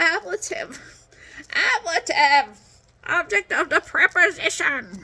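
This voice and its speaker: A put-on character voice, playful in tone, at a moderate pace. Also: woman. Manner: silly, playful.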